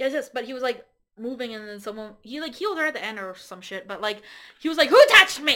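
A woman speaks at a very fast pace in a high, bright, sharp voice that is raised and projected. Her pitch swings very widely and her loudness jumps up and down a lot. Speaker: guest, host's romantic partner. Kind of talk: casual chat. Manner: giggly, laughs often.

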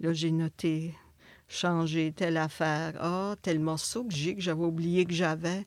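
A woman's fairly low voice at a very slow pace, dry and close with no echo, in a very clean recording over a silent background. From northwestern New Brunswick, Acadia. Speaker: visual artist. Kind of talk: interview.

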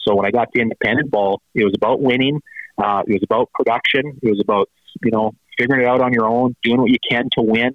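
A man talks very fast with a Canadian Prairies accent. His intonation is fairly even and his loudness very even. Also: medium pitch for a man. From Saskatchewan, Canada. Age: 40s. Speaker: former professional baseball player. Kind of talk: interview.

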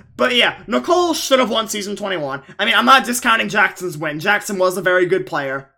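Over noticeable background noise, a man with an American accent and a high pitch uses a raised, projected voice at a fairly quick pace, with very wide pitch swings and hardly any pauses. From Long Island, New York. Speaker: podcast host. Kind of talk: casual chat.

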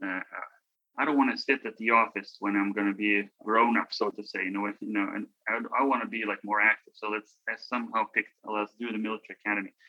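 In a Lithuanian accent, a man with a fairly low pitch speaks very fast in a monotone, flat intonation. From Lithuania, Vilnius. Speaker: former college basketball player. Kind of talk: interview. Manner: halting.

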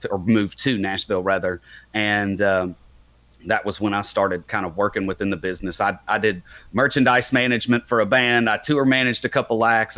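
A man's fairly low voice, bright and sharp in tone, at a fairly quick pace, in a very clean recording with a silent background. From Kentucky, Bowling Green. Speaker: country singer-songwriter. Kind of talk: interview.

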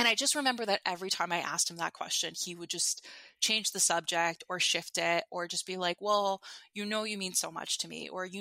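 A woman with an ordinary speaking voice talks in an American accent at a fairly quick pace, medium pitch and ordinary pitch variation. The recording is very clean, with a silent background. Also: dry, close sound with no echo. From New York. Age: 30s. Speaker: anonymous guest sharing dating story. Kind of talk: personal testimony in casual interview.

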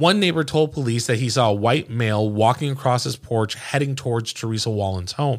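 A man with a plain, everyday voice at medium pitch talks at a fairly quick pace with lively intonation, on a very clean recording with a silent background. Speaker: true crime podcast host. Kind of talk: dramatic narration of a true crime case, read as a story. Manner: grave, measured, suspenseful storytelling pace; conversational and relaxed when chatting.

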